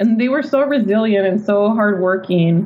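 A woman talks against noticeable background noise. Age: 30s. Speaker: poet and novelist. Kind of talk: interview conversation.

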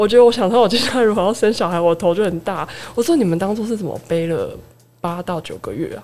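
A woman with a medium-pitched voice talks at a very fast pace with ordinary pitch variation. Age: 30s. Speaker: pharmacist. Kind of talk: casual chat, personal experience.

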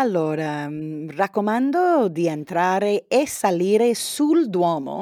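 Speaking at a medium pitch, a woman has a dark, mellow tone and lively intonation. The recording is very clean, with a silent background and a dry, close sound with no echo. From California, US. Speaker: Italian learner, podcast guest. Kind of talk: casual chat. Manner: halting.

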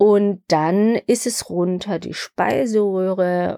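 On a very clean recording with a silent background, a woman speaks at a medium pitch with a dry, close sound and no echo. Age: 50s. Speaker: pharmacy podcast host. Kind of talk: personal testimony.

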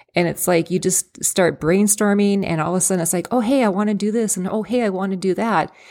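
The recording is very clean, with a silent background. The speech runs at a very fast pace with fairly even intonation. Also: woman, medium pitch for a woman, hardly any pauses. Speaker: radio DJ. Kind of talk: casual chat.

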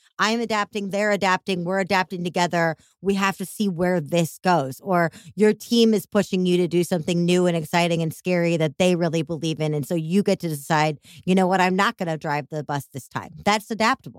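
Fairly low in pitch with ordinary variation, a woman talks at a fairly quick pace. The recording is very clean with a silent background, dry and close with no echo. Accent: Chicago. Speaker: podcast host. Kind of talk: casual interview conversation. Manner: animated, warm, enthusiastic.

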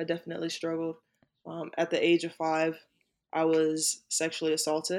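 A woman with an American accent speaks at a moderate pace in a fairly low pitch, her intonation flat and monotone. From US South, South Carolina. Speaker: Air Force service member. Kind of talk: casual interview chat. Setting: video call.

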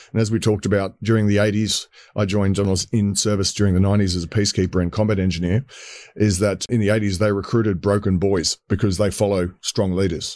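In an Australian accent, a man with a fairly low pitch speaks at a very fast pace with monotone, flat intonation and very even loudness, on a very clean recording with a silent background. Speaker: entrepreneur and military veteran. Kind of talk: casual interview. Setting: studio.

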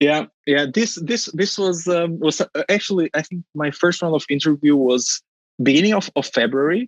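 Speaking with a Portuguese accent, a man talks at a moderate pace and a fairly high pitch with ordinary pitch variation, the sound dry and close with no echo. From Portugal, Porto. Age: 20s. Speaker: finance professional, podcast guest. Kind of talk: interview. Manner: repeats words, halting.

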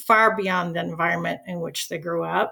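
Here a woman speaks in an American accent. She keeps a moderate pace. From US Midwest, Chicago. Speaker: retired teacher. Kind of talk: casual interview.

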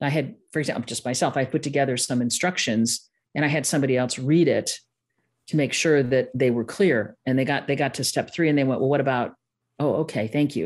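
A woman talks at a fairly quick pace with a very deep, low pitch and ordinary pitch variation. The background is quiet. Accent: slight Midwestern. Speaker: online course designer and consultant. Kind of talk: podcast interview.

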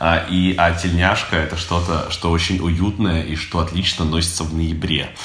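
A man's very deep, low voice at a moderate pace, flat and monotone, with hardly any pauses. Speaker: podcast co-host. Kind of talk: casual chat. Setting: recorded in an apartment. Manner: hesitant, many filler sounds.

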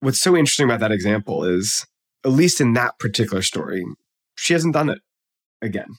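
Recorded dry and close with no echo, a man at a medium pitch talks very fast with very wide pitch swings and long, frequent pauses. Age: 40s. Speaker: psychology professor and author. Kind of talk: interview.

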